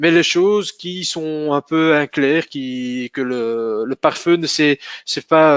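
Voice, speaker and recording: A man at fairly high pitch with a Flemish accent and fairly even intonation. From Flanders, Belgium. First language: Dutch (speaking French). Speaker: sales manager presenting a tech webinar. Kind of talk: technical webinar presentation. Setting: online webinar. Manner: halting, many hesitations.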